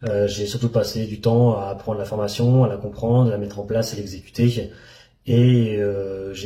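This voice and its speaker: A man's dark, mellow, somewhat breathy voice of fairly low pitch, monotone and flat in intonation, at a moderate pace with audible room echo. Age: 30s. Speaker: trading student. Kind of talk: testimony. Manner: halting.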